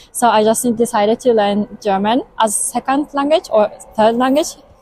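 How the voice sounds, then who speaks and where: A fairly high-pitched woman can be heard through noticeable background noise. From Japan. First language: Japanese. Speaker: interviewee, language learner. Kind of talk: interview. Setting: Tokyo.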